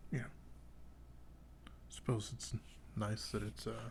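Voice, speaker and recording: A man is speaking. His tone is soothing and calm. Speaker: knife reviewer. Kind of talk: casual talk to camera. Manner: soothing, calm, rambling.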